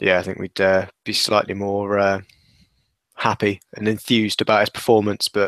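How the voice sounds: A man speaks at a moderate pace with a fairly low pitch and little pitch movement. The sound is dry and close, with no echo. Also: fairly bright tone.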